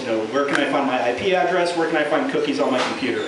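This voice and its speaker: Amid noticeable background noise and audible room echo, a man talks very fast at a fairly high pitch. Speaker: open-mic stand-up comedian. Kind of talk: stand-up comedy set at an open mic, with scripted jokes and bits. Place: bar. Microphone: camera far.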